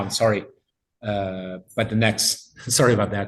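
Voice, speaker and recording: A somewhat breathy voice with an Italian accent. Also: man. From Italy. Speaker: linguistics professor. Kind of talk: lecture Q&A. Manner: halting.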